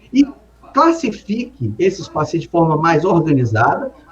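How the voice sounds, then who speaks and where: A man talks at a moderate pace with very wide pitch swings. Noticeable background noise runs underneath. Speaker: city councillor and mayoral pre-candidate, emergency doctor. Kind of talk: political interview. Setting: live stream interview.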